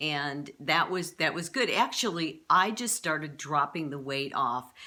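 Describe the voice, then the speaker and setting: Lively intonation runs through a bright, sharp tone. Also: woman, very deep, low pitch for a woman, fairly slow pace. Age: 60s. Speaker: YouTuber sharing diet experience. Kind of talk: personal testimony monologue. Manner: casual, conversational with fillers and restarts.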